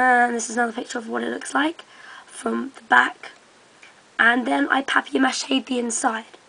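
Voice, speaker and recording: A woman's high-pitched voice shows ordinary pitch variation while she talks at a moderate pace. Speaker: hobbyist video maker. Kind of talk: tutorial. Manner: hesitant, many ums.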